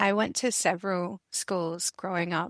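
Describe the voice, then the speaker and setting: Slow-paced and medium in pitch, a woman speaks with an Australian accent. The recording is very clean with a silent background, dry and close with no echo. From Adelaide, Australia. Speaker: university librarian. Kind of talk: casual interview.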